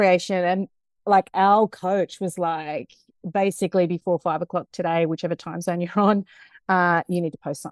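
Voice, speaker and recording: The speaker has a New Zealand accent. The background is quiet. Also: woman, dry, close sound with no echo. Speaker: culture transformation consultant. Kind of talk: casual interview. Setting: video call. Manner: animated.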